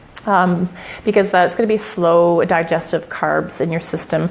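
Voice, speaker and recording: A woman speaks at a medium pitch and a moderate pace. Her pitch varies in an ordinary way, with noticeable background noise behind her. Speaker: shift worker giving fitness tips. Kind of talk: live stream talk. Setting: Facebook live broadcast. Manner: animated.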